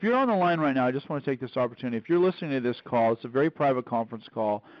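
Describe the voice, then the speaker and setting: Ordinary pitch variation marks a man talking at a very fast pace. The sound is dry with no echo, over a quiet background. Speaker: call host. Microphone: phone line.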